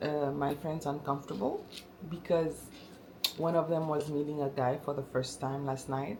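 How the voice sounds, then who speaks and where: The voice moves at a moderate pace with fairly even intonation, over noticeable background noise and audible room echo. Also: woman, very deep, low pitch for a woman. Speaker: lifestyle vlogger. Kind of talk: casual vlog talk to camera. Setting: at home. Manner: halting, many fillers.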